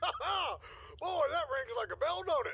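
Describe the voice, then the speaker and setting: A put-on character voice at an extremely high pitch moves at a moderate pace with very wide pitch swings over light background noise. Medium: video game. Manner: gruff, folksy.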